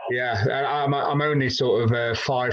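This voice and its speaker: Over noticeable background noise, a man speaks at medium pitch and a moderate pace with monotone, flat intonation. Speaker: fitness coach. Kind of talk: casual interview.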